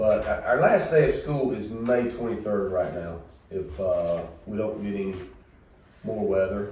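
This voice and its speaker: Speaking at a fairly slow pace in a Southern US accent, a man is heard with audible room echo and light background noise. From US South. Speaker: school superintendent. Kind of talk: board meeting report and recognitions. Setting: school board meeting room. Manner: casual and folksy. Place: meeting room. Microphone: camera far.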